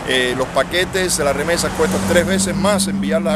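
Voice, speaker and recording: Fairly quick, fairly high-pitched speech from a man, with audible room echo and noticeable background noise. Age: 60s. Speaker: exile activist leader. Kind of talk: street interview.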